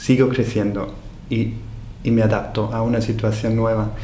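A German accent with audible room echo. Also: man. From Austria. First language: German (speaking Spanish). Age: 40s. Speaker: hotel owner and entrepreneur. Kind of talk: interview. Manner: halting, many repetitions and fillers.

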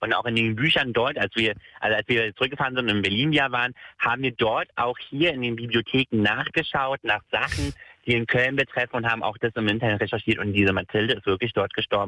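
This man's pitch is medium. His speech comes very fast. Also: ordinary pitch variation. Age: 20s. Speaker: caller. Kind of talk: storytelling on phone-in.

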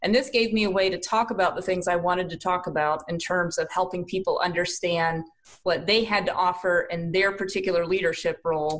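A woman with a slight Southern US accent, fairly quick in pace, medium in pitch, with fairly even intonation. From South Carolina. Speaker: leadership coach and team building consultant. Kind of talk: casual interview. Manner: warm.

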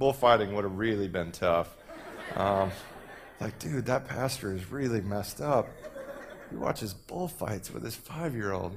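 Over noticeable background noise, a man with an American accent speaks at a moderate pace and fairly low pitch, leaving long, frequent pauses. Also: lively intonation. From Texas. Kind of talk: sermon. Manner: animated.

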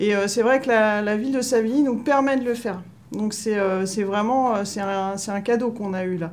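Her pitch is fairly high for a woman, with ordinary variation. The woman speaks at a fairly slow pace, and audible room echo surrounds her voice. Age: 40s. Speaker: municipal groundskeeper. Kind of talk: interview testimony. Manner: halting, many hesitations.

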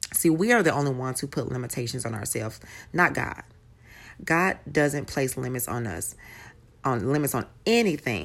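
A woman with a very deep, low voice speaks at a moderate pace in a warm, enthusiastic tone. Her intonation is lively, and she takes long, frequent pauses. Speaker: faith podcaster. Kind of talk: devotional talk.

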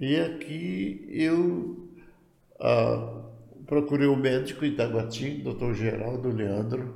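Speaking very slowly with vocal fry, a man at a medium pitch is heard with audible echo from the room. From Goiás, central Brazil. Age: 80s+. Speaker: retired pioneer pastor. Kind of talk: interview testimony.

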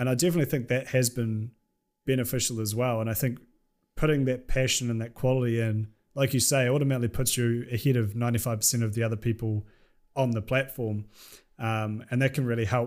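With a New Zealand accent, the speaker talks at a very fast pace and with fairly even intonation on a very clean recording with a silent background. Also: man, medium pitch for a man. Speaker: YouTuber. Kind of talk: casual chat.

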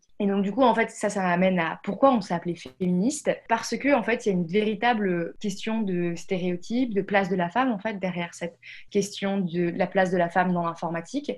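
A woman's somewhat breathy, medium-pitched voice at a fairly quick pace, with ordinary pitch variation, hardly any pauses, and a quiet background. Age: 20s. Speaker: founder of a coding school. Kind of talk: interview. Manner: hesitant, many fillers.

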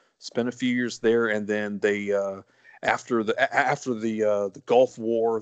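A man with a Southern US accent at a fairly slow pace, dry and close with no echo, against a quiet background. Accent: Southern US drawl. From US South, born in South Carolina, now Texas. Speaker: guest, college sports podcaster. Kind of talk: casual chat, interview.

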